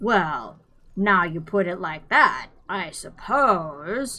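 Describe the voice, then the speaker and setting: A woman puts on a character voice at medium pitch, speaking at a very slow pace. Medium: read story. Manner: slow, simple and hesitant.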